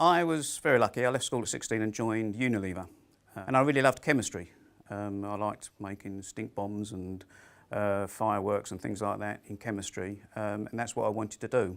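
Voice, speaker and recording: A man with a fairly low pitch, ordinary pitch variation and a fairly quick pace. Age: 60s. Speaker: careers personal advisor. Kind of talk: interview monologue. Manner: hesitant with fillers.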